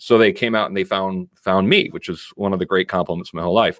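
At a very fast pace, a man with an American accent speaks at fairly low pitch. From Connecticut, US. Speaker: First Amendment lawyer. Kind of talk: interview conversation. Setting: video call.

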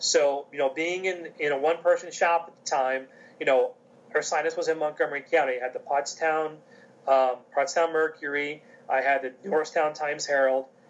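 A man with an American accent has an unremarkable speaking voice, fairly high in pitch. He moves at a fairly quick pace with fairly even intonation and big swings in loudness. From US, coal region of Pennsylvania. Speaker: athletic conference communications officer. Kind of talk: interview.

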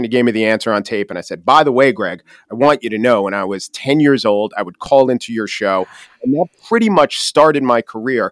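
In a very clean recording with a silent background and a dry, close sound with no echo, a man with a Long Island accent talks very fast at medium pitch with lively intonation. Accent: Long Island New York. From Long Island, New York. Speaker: podcast host and commentator. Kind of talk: interview conversation. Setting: studio. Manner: fast talker.

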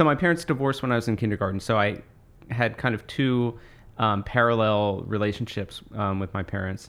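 With an American accent, a man speaks in a normal speaking voice at a medium pitch with ordinary pitch variation. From US Northeast, Monmouth County, New Jersey. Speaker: author. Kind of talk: interview conversation.

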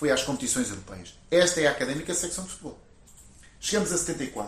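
A man with lively intonation. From Coimbra, Portugal. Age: 40s. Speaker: football club president. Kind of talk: interview.

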